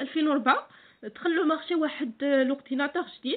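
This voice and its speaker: The woman speaks fairly quickly in a high voice. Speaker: accounting tutor. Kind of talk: tutorial. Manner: frequent hesitations (euh).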